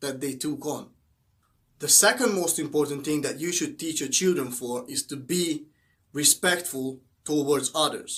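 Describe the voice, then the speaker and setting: A fairly high-pitched man with a Hungarian accent, ordinary pitch variation and a fairly slow pace. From Hungary. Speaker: motivational YouTuber. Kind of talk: motivational talk to camera. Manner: halting, with fillers.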